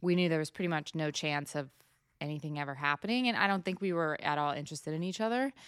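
In a very clean recording with a silent background, a woman with an American accent talks at a very fast pace, her very deep, low voice carrying lively intonation. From Washington State, small town. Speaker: cattle farmer. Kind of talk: casual chat. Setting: recorded on a laptop.

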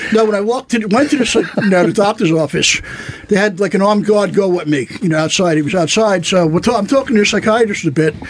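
Against noticeable background noise, a man speaks at a very fast pace and a high pitch. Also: ordinary pitch variation, very even loudness. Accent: New York. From New York, Staten Island. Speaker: comedian, former Marine. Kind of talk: casual chat.

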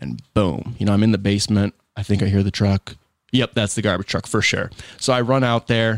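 A man's plain, everyday voice with an American accent, fairly low in pitch, fairly quick, with fairly even intonation and a dry, close sound with no echo. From Michigan, US. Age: 20s. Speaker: lawn care business owner. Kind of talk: casual interview. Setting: studio.

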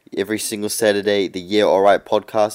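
Speaking with a New Zealand accent at a fairly quick pace, a man has a fairly low pitch, recorded very cleanly with a silent background. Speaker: podcast co-host. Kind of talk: casual chat.

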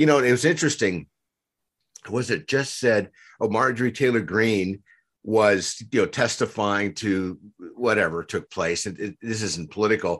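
A man speaks at a moderate pace and medium pitch. His pitch variation is ordinary, and the background is quiet. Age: 60s. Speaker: crisis coach. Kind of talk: casual interview. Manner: halting, many fillers.

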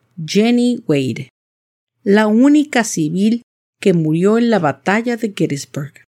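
A woman with a Latin American accent talks at a very slow pace with lively intonation. The sound is dry and close, with no echo. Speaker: podcast host and storyteller. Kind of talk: scripted ghost story narration, eerie and suspenseful. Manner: slow, clear, deliberate.

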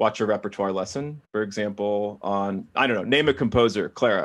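A man with an ordinary speaking voice talks at a moderate pace, his pitch fairly low with ordinary variation. The background is quiet. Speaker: classical pianist and music education executive. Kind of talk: interview.

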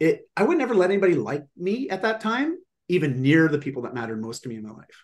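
With a high pitch, a man speaks at a very fast pace, his pitch swinging very widely and his loudness swinging a lot. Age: 40s. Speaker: fitness and lifestyle coach, author. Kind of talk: casual interview. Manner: animated.

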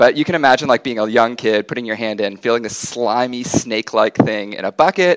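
A man with an American accent and a plain, everyday voice talks at a medium pitch and a fairly quick pace, the sound dry and close with no echo. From United States. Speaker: geographer and ecologist. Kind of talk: casual interview.

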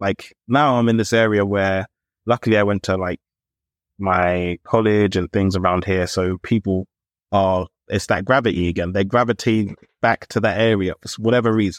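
Fairly low male voice with a London accent, moderate pace and fairly even intonation, dry and close with no echo, over a quiet background. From London (Camden). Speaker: podcast co-host. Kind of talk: casual chat.

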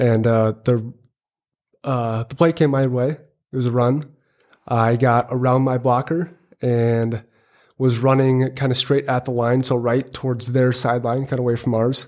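Speaking in an American accent, the voice moves at a fairly slow pace in a monotone with flat intonation. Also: man, medium pitch for a man. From Minnesota. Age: 20s. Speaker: quadriplegic injury survivor, engineering student. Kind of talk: interview testimony.

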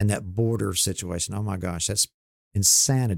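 A man's normal speaking voice, fairly low in pitch and fairly quick in pace, on a very clean recording with a silent background. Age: 60s. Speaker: mortgage banker. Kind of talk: casual chat. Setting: studio.

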